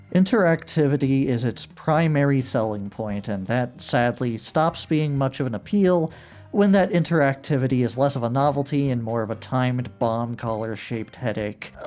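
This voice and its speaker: A man at a medium pitch with lively intonation, a moderate pace, and hardly any pauses, with music in the background. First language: not Japanese. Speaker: retro video game reviewer. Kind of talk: video essay narration. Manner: casual, with fillers.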